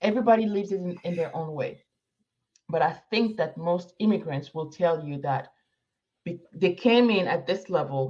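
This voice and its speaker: Somewhat breathy, dark, mellow tone at a moderate pace, with ordinary pitch variation. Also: woman, fairly low pitch for a woman. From Morocco. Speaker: immigrant professional planning move to Africa. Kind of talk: interview conversation.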